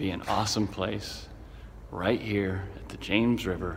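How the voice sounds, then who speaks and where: Against noticeable background noise, a man speaks at a fairly slow pace and a fairly low pitch. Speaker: brewery co-founder and executive chairman. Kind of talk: casual talk to camera.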